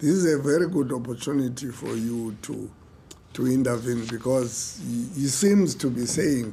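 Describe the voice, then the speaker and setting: Speech with ordinary pitch variation moves at a moderate pace in audible room echo. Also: man, medium pitch for a man. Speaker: ombudsman chairing an inquiry hearing. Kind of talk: formal inquiry hearing, questioning a witness.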